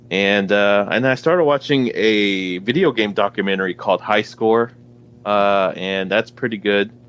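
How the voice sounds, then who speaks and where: The speech moves at a moderate pace. Its loudness stays very even. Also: man, fairly low pitch for a man. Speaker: podcast host. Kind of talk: casual chat. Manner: monotone.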